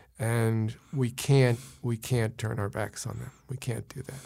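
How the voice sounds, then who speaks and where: A man with a New York accent talks at a medium pitch in a monotone, flat intonation. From New York City (Brooklyn, Queens). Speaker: physician. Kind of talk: interview. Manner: halting.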